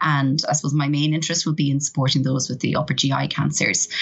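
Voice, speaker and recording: A woman's very deep, low pitch comes through noticeable background noise. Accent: Irish. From Ireland. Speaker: professor. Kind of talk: interview. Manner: hesitant with fillers.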